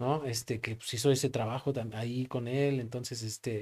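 His voice is dark and mellow, sitting at a medium pitch, and the man speaks in a flat monotone. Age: 30s. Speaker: pastor. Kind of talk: casual chat. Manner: halting.

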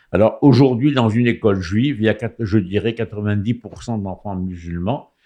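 Over a quiet background, a man talks in a fairly low pitch with a dark, mellow tone and ordinary pitch variation. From Morocco, Rabat. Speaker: political commentator. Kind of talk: radio talk show. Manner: halting.

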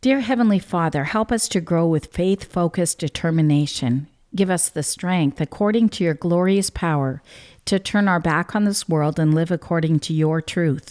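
In a very clean recording with a silent background and a dry, close sound with no echo, a woman with a fairly low pitch speaks at a moderate pace and very even loudness, with ordinary pitch variation and an unremarkable speaking voice. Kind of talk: devotional talk with prayer.

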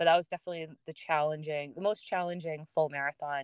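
In an American accent, a woman speaks with a very deep, low pitch and fairly even intonation, recorded with a dry, close sound and no echo. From US, Massachusetts. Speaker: runner and fitness instructor. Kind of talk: casual interview chat.

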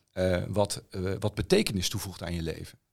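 A man speaks at a moderate pace in a plain, everyday voice, his pitch fairly low. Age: 50s. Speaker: songwriter and philosophy student. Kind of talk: casual chat.

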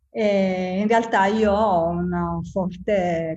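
A woman speaks in a somewhat breathy voice at a medium pitch, with ordinary pitch variation. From southern Italy, Apulia (province of Bari). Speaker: ceramic artist and graphic designer. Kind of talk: casual interview chat.

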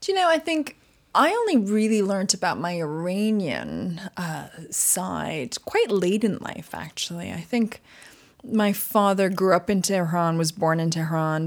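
At a fairly slow pace, a woman speaks at medium pitch in an ordinary speaking voice with ordinary pitch variation. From Canada, Montreal. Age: 40s. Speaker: magazine editor. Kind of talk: interview. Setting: studio in London.

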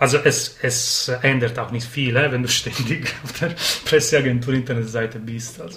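The speaker has an Italian accent and a moderate pace, with fairly even intonation. Loudness swings widely over noticeable background noise. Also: man, medium pitch for a man. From Sardinia, Italy. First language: Italian (speaking German). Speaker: poetry slam organizer. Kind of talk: casual chat. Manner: halting.

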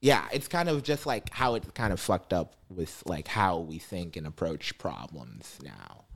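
A man with a Midwestern American accent speaks fairly slowly with hardly any pauses. His very deep, low voice has vocal fry and very wide pitch swings. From east side of Cleveland, Ohio. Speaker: stand-up comedian. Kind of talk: casual chat.

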